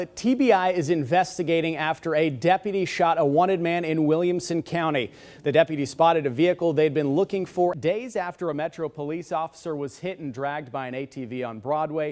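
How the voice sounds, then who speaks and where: In an ordinary speaking voice, a man talks at a fairly quick pace with hardly any pauses, his fairly high pitch showing ordinary variation. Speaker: TV news anchor and reporter. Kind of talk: studio news anchor read.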